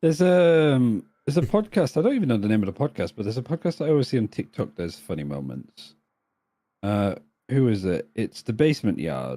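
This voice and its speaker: A man with a British accent, medium pitch, very wide pitch swings and a dark, mellow tone. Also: fairly quick pace. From northern England. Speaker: esports caster. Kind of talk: casual chat.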